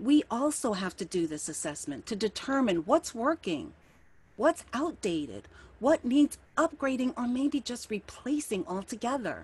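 Speaking at a fairly slow pace, a high-pitched woman with an American accent moves through very wide pitch swings. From US East Coast. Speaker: minister giving a spiritual talk. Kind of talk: sermon-style talk. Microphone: webcam.

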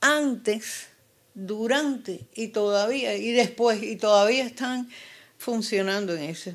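A fairly high-pitched woman at a very slow pace, with big swings in loudness over a quiet background. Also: ordinary pitch variation. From Cuba. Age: 80s+. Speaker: activist mother of a prisoner. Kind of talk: interview; interview answer. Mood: earnest, at times indignant. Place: home room. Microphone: handheld.

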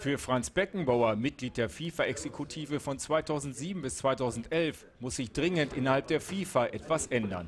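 Over noticeable background noise, a man with a fairly high pitch talks at a moderate pace with hardly any pauses. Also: lively intonation. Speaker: news reporter / narrator. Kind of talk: TV sports news report voice-over.

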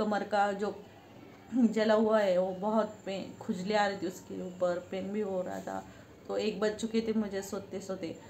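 Speaking at a fairly slow pace, a woman with a medium-pitched, slightly mellow voice shows little pitch movement, and the room echo is audible.

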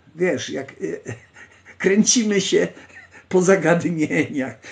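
With a Polish accent, a man speaks at a fairly slow pace. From Poland. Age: 60s. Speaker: livestream host. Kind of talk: casual live stream chat, reading text aloud; casual live-stream talk answering chat. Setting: online live stream. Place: home room. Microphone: phone near.

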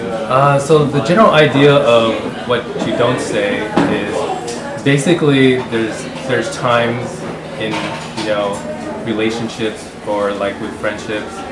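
Through loud background noise, a man speaks at a fairly slow pace, leaving long, frequent pauses. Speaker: creator explaining a project. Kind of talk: casual interview answer. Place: home room.

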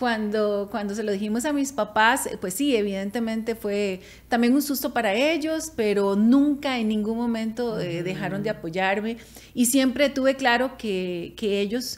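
A woman speaks at a fairly slow pace in a fairly high voice. Her pitch varies in an ordinary way. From Costa Rica. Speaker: podcast co-host. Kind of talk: casual chat. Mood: warm, reflective. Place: studio. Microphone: studio mic.

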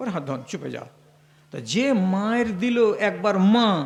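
This man's voice sits at a high pitch. His tone is animated. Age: 60s. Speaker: Islamic preacher. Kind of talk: sermon.

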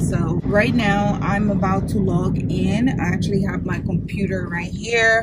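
A woman speaks at a fairly slow pace in a dry sound with no echo, over loud background noise. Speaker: travel vlogger. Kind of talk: casual vlog chat. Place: car. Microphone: phone near.

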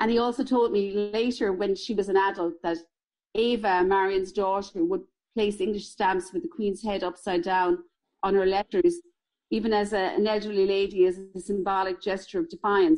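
A voice with a Tipperary accent, at a moderate pace with ordinary pitch variation. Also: woman, medium pitch for a woman. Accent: Irish (Tipperary). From Ireland, County Tipperary. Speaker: local historian. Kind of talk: interview.

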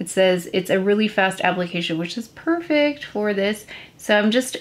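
The woman speaks at a moderate pace. Her intonation is lively. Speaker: beauty vlogger. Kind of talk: makeup tutorial chat. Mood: lightly amused, hurried. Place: home room.

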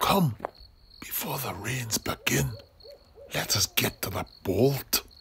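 A man at a medium pitch puts on a character voice with big pitch swings. His slow delivery has a bright, sharp tone and a husky, rough edge.

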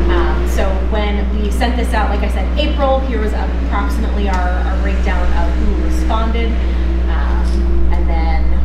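Fairly slow speech with audible room echo and loud background noise. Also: woman. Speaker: council presenter. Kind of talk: presentation to a meeting. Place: classroom. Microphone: camera far.

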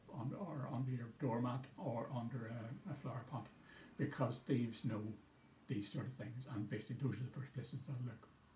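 Recorded with audible room echo and light background noise, a man is speaking. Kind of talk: public information talk. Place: office. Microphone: phone near.

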